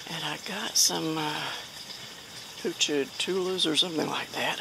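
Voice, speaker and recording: Noticeable background noise sits under the recording, which is dry, with no echo. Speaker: home gardener vlogger. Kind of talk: casual vlog chat. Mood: relaxed, cheerful. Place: garden. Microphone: phone near.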